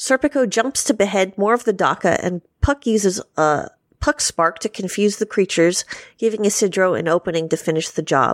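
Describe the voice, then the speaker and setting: In a very clean recording with a silent background, a woman with a plain, everyday voice and medium pitch speaks with lively intonation at a very even loudness. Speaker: podcast panelist. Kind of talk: casual chat.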